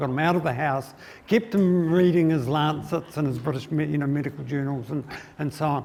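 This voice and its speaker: The speaker has a New Zealand accent and ordinary pitch variation. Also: man. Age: 70s. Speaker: financial speaker. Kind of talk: seminar talk. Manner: halting.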